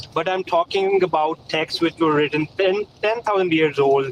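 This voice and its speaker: With a non-native accent, a man talks at a fairly slow pace with fairly even intonation, the sound dry and close with no echo. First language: not English. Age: 30s. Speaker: caller. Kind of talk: debate. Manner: halting.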